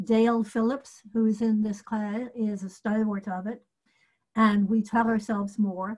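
A woman's fairly high, somewhat breathy voice, flat and monotone, at a fairly slow pace against a quiet background. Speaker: mystery author; panelist. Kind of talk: panel discussion. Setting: video call. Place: home room. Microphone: video call.

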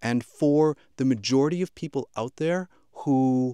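The recording is very clean, with a silent background. A man's medium-pitched voice carries lively intonation. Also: dry, close sound with no echo. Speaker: voice talent and audio gear reviewer. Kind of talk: tutorial. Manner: casual, hesitant with fillers.

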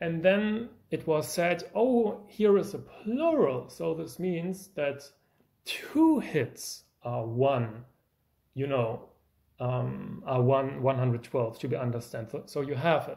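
Slowly and somewhat breathily, a man with a German accent speaks at a fairly high pitch with a dark, mellow tone and very wide pitch swings. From Germany. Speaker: music YouTuber, pianist. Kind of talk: video lecture with demonstration. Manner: animated.

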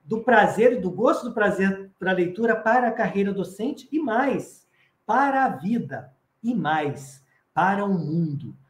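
Fairly slow speech from a man with a high voice, room echo clearly audible. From Brazil, Espírito Santo. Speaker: professor and children's author, storyteller; professor, storyteller. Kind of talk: lecture-style interview. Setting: online live stream. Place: home room. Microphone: video call.

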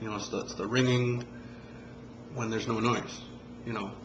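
A man talks while noticeable noise fills the background. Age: 40s. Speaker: amateur musician vlogger. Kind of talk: tutorial. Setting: home video recording. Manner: halting, many fillers. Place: home room. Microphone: phone near.

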